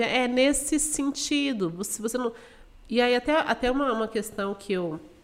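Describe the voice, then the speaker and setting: In a very clean recording with a silent background, a woman with an ordinary speaking voice talks at a fairly slow pace with lively intonation. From Mato Grosso do Sul, Brazil (Dourados). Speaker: financial educator. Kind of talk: podcast interview.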